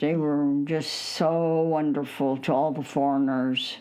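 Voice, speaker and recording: With noticeable background noise behind her, a woman speaks in an American accent at a very deep, low pitch, her intonation fairly even. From United States, Illinois. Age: 80s+. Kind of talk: interview answer.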